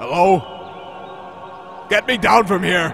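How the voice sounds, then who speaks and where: A man does a cartoonish character voice at a high pitch, with clear background noise behind him. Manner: dry, sarcastic, exasperated.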